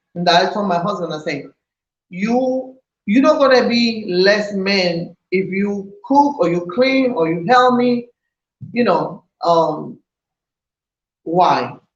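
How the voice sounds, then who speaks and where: Breaking often into long pauses, a woman speaks very slowly in a somewhat breathy voice. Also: medium pitch for a woman, lively intonation. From Puerto Rico. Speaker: vlogger, wife of channel owner. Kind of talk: casual chat.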